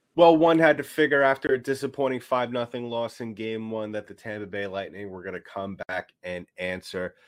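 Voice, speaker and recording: A man at medium pitch talks at a fairly quick pace with hardly any pauses, lively intonation and big swings in loudness, on a very clean recording with a silent background. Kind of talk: game recap. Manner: enthusiastic, somewhat stumbling.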